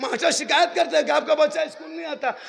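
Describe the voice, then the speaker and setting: A man's extremely high pitch rides on lively intonation, his raised, projected voice taking on an animated tone. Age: 50s. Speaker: Islamic preacher. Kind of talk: religious sermon with humor.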